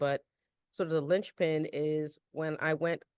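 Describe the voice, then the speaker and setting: A woman with a Bronx accent and very deep, low pitch, in a dry, close sound with no echo. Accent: Bronx New York flavor. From New York, the Bronx. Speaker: real estate developer. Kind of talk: podcast interview.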